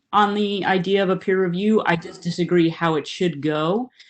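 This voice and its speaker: A woman speaks at a moderate pace in a fairly low pitch, with ordinary pitch variation over a quiet background. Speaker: water board director. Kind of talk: committee meeting discussion. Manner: soft-spoken.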